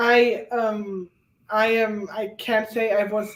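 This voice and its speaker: A woman with a fairly high pitch speaks in a strong German accent. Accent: thick German. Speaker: guest on reading livestream. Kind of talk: casual chat.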